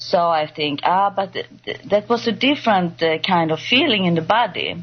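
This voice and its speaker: A woman speaks with lively intonation in a Swedish accent. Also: medium pitch for a woman, moderate pace. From Sweden. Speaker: patient guest. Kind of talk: testimony. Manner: halting.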